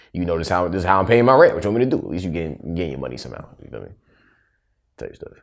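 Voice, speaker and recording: Speaking at a very fast pace, a man with a very deep, low pitch uses lively intonation and vocal fry, with big swings in loudness. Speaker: podcast co-host. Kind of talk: casual chat.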